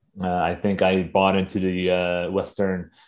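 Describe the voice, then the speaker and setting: Over a quiet background, a man with an American accent speaks at a very deep, low pitch. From US, Northern Virginia. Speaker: organizer and photographer. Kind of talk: interview.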